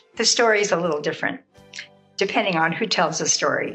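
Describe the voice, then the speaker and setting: Music plays in the background as a woman speaks. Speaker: grandmother storyteller. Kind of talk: personal memory storytelling to camera. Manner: gentle.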